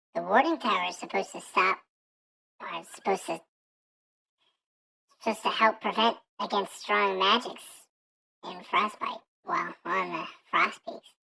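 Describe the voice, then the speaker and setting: Someone uses a put-on character voice at a fairly high pitch, moving at a moderate pace with long, frequent pauses. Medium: actual play.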